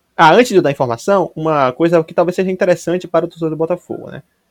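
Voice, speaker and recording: A man's fairly high voice at a very fast pace, dry and close with no echo. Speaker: sports podcast co-host. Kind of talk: casual comedic sports chat.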